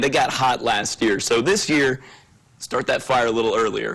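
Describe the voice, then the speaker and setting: A man with a medium-pitched voice speaks at a moderate pace in a plain, everyday voice, recorded very cleanly with a silent background. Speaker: sports anchor and reporter. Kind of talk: TV sports montage voiceover.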